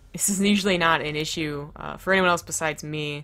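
Music plays behind a woman whose fairly low voice shows ordinary pitch variation. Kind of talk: commentary.

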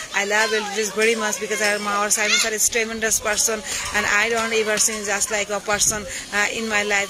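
A woman speaks with a Bangladeshi accent at a fairly high pitch. There is noticeable background noise. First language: Bengali. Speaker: college teacher and English learner. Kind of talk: casual live video chat, self-introduction. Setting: outdoors on a rooftop, live video. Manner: halting, many fillers. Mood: warm, grateful. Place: street. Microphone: phone near.

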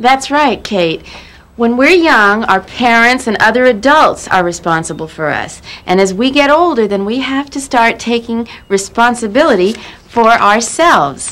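Her pace is moderate. The woman's intonation comes across as lively. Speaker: teacher in a TV show. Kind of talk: scripted acting, teacher addressing class. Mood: warm, encouraging. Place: classroom.

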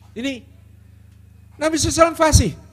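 A man does the talking here. He goes at a fairly slow pace. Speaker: Islamic preacher; speaker. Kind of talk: religious lecture. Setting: stage with audience. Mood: warm, smiling explanation. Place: stage. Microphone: handheld.

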